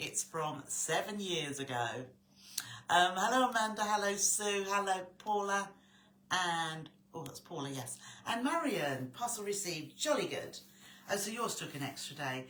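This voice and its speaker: With audible room echo, a woman speaks at a moderate pace and medium pitch, her voice swinging very widely in pitch between long, frequent pauses. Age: 60s. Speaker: sewing tutor. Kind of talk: live stream chat. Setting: live stream. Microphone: quiet volume.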